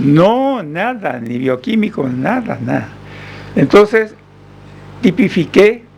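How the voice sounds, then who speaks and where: The pace of this man is very slow. His pitch swings very widely. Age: 80s+. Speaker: doctor. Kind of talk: radio interview answer.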